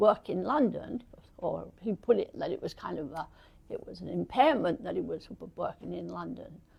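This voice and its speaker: A woman with an English accent talks at a moderate pace. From England. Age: 80s+. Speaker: retired computer professional.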